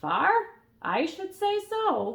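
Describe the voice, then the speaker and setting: Putting on a character voice, a woman speaks at an extremely high pitch with a croaky sound. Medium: read story.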